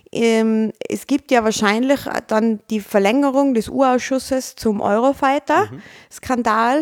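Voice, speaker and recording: A woman's high-pitched voice in an Austrian accent, fairly slow, with ordinary pitch variation and a dry, close sound with no echo. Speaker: podcast host. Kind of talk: casual chat.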